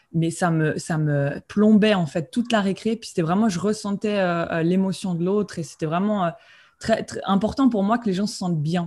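A somewhat breathy woman at a moderate pace with ordinary pitch variation, on a very clean recording with a silent background. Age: 20s. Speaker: spiritual coach and medium. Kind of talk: interview. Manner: halting.

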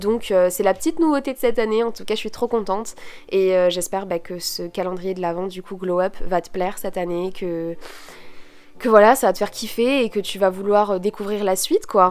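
At a fairly quick pace, a woman at medium pitch talks with ordinary pitch variation and big swings in loudness. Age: 20s. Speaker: podcaster and student. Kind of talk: solo podcast monologue. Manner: casual, many fillers.

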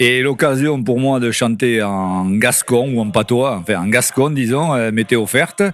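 A man with a plain, everyday voice, medium pitch, a fairly slow pace and hardly any pauses. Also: ordinary pitch variation. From Landes, Gascony. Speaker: retiree, workshop member. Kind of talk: interview.

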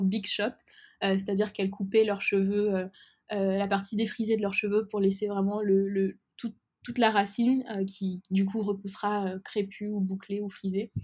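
A woman speaks at a medium pitch and a moderate pace. Her voice is somewhat breathy, with monotone, flat intonation. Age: 20s. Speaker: entrepreneur, cosmetics brand founder. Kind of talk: interview. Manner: hesitant, many filler words.

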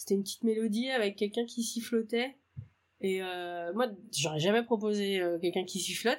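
A fairly high-pitched woman's voice, fairly quick in pace and ordinary in pitch variation. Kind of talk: casual interview.

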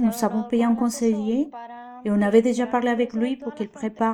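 A woman speaks at a moderate pace with a Spanish accent. Her voice is fairly high, and her intonation fairly even. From Venezuela. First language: Spanish (speaking French). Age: 20s. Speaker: beautician and migrant. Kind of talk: testimony.

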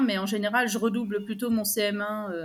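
Audible room echo surrounds a woman who speaks at a fairly slow pace with a fairly high pitch. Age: 40s. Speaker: primary school teacher. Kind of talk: casual interview.

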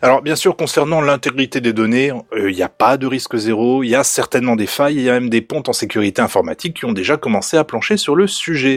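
At a very fast pace with hardly any pauses, a man speaks at medium pitch with ordinary pitch variation in a dry, close sound with no echo. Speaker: podcast co-host. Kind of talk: casual tech podcast chat.

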